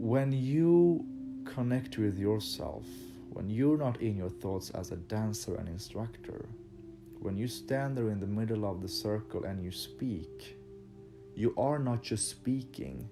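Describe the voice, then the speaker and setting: Over music in the background and audible room echo, a man with a fairly low pitch speaks at a fairly slow pace, his pitch swinging very widely. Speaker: dance instructor. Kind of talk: motivational talk. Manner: halting.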